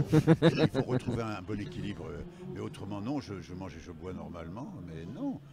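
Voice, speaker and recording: A man with a dark, mellow, somewhat breathy tone speaks at a moderate pace with very wide pitch swings, in a dry sound with no echo and noticeable background noise. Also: fairly low pitch for a man, big swings in loudness. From France. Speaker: voice actor. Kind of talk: casual interview. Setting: convention stage with crowd noise. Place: hall. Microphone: handheld.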